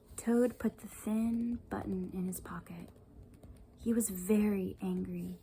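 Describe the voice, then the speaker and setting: Soft-spoken and at a very slow pace, a woman talks over noticeable background noise. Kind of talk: children's storybook reading.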